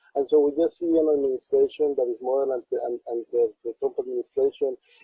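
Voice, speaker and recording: With a Spanish accent, a man talks at a fairly quick pace. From Colombia. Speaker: community organizer. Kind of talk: interview.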